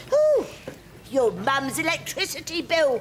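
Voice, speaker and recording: A cackling, female-sounding put-on character voice at an extremely high pitch speaks at a fairly slow pace over clear background noise. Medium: audio drama. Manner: cackling, cheeky.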